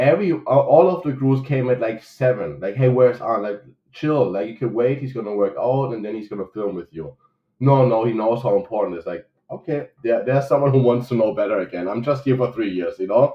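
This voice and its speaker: A man with a German accent, medium pitch, ordinary pitch variation, and a fairly quick pace. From Germany. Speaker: coffee shop owner. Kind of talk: casual interview chat.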